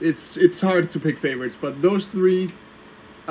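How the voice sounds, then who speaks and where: A man speaks with a Danish accent. His pace is moderate and his pitch variation ordinary. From Denmark. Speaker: online video reviewer. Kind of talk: casual interview chat.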